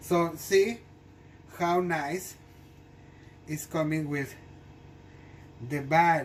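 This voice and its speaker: Speech unfolds at a very slow pace, broken by long, frequent pauses. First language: not English. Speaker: home cooking video host. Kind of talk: cooking tutorial. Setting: home kitchen. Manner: halting, many fillers and restarts.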